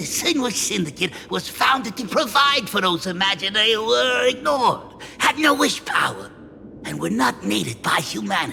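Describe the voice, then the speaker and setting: A man performs a put-on character voice, high-pitched with very wide pitch swings. He keeps a moderate pace over clear background noise. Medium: video game. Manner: chuckling, folksy, hesitant fillers.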